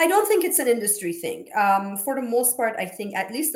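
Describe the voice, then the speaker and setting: Her pitch rises and falls very widely. The speaker is a woman. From Iran. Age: 40s. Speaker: sales account manager and alumni volunteer. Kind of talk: casual interview.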